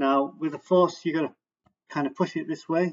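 Pitch shifts in an ordinary way as a man talks. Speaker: product maker demonstrating. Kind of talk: tutorial. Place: home room. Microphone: webcam.

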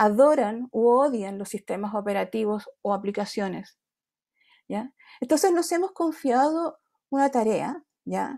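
A woman with a dark, mellow tone and lively intonation, speaking at a fairly slow pace over a quiet background. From grew up outside Chile. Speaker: design academic; design lecturer or panelist. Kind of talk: panel presentation. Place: home room. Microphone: earbuds.

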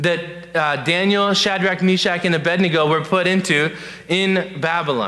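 Pitched high, the man talks with pitch that moves in an ordinary way. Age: 20s. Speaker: youth pastor. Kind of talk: sermon. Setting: church. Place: church.

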